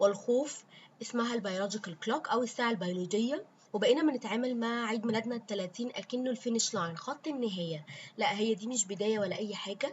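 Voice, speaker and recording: The voice is somewhat breathy with ordinary pitch variation. Its pace is fairly quick. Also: woman. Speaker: podcast host. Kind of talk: podcast monologue. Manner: casual, with frequent fillers.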